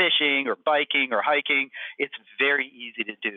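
Here a man speaks at a fairly high pitch in a plain, everyday voice. His pace is moderate. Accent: American. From Upper Michigan (Houghton). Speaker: physician and medical department head. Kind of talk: interview.

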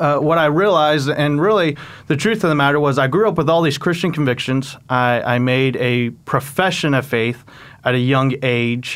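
In a plain, everyday voice, a man with an American accent talks at a moderate pace, fairly high in pitch, with ordinary pitch variation and very even loudness. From Oklahoma. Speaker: student minister. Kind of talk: testimony.

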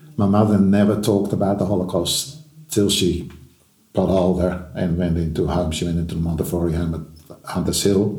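With a very deep, low pitch and a somewhat breathy voice, this man speaks at a moderate pace with ordinary pitch variation. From Netherlands, moved to Australia at 14. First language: Dutch. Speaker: Holocaust survivor and author. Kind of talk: interview testimony. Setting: Sydney.

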